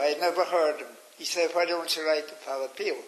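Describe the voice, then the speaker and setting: Speaking at a moderate pace, a man with an Irish accent has a high-pitched voice. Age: 90s. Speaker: interviewee recounting memories. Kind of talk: interview. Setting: radio.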